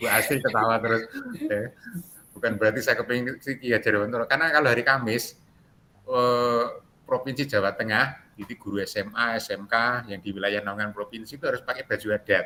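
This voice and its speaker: A man with a strong Javanese accent, a bright, sharp tone, medium pitch, fairly even intonation and a fairly quick pace. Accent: thick Javanese (medok). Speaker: teacher trainer, facilitator. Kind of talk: online class discussion.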